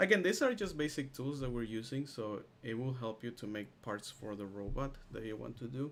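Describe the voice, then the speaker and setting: The delivery is fairly quick, in an unremarkable speaking voice. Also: man. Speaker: instructor teaching software class. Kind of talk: live online tutorial. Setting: video call with screen sharing.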